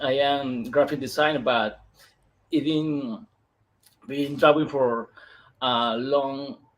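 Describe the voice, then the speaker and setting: Speaking fairly slowly with a Peruvian accent, a man leaves long, frequent pauses. His pitch is fairly high and his intonation fairly even. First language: Spanish. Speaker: comic book illustrator. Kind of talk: interview. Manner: halting, slow.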